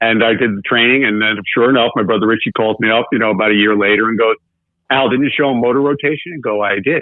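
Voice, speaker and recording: Using ordinary pitch variation, a man with an American accent talks very fast at medium pitch. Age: 60s. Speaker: business consultant and author for contractors. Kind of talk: podcast interview. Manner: animated storytelling.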